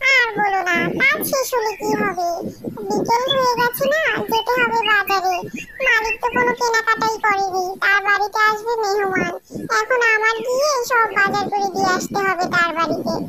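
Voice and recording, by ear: Over loud background noise, a cartoonish character voice pitched extremely high moves at a moderate pace.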